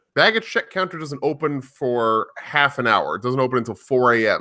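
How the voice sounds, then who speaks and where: The tone is bright and sharp at a fairly quick pace. The recording is very clean with a silent background. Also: man. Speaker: podcast host; streamer. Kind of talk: casual chat. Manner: halting, many fillers.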